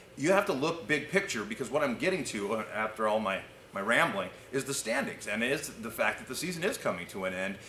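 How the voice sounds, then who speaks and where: Very fast and with very wide pitch swings, a man talks at medium pitch amid audible room echo. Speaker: team broadcaster. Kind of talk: interview.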